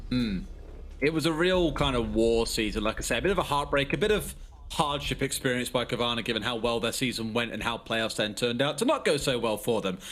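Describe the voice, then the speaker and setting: A man with a British accent at a very fast pace. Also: medium pitch for a man, ordinary pitch variation. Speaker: esports caster. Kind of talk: live commentary.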